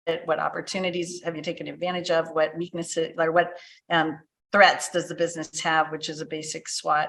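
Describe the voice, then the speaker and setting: An ordinary speaking voice from a woman, fairly low in pitch, at a moderate pace. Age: 60s. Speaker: business transition consultant. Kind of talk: podcast interview.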